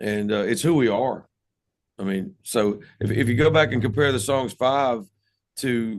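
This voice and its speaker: A man speaks in a Southern US accent. His pitch is medium, with ordinary variation. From US South, North Carolina. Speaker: rock band musician. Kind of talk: casual interview.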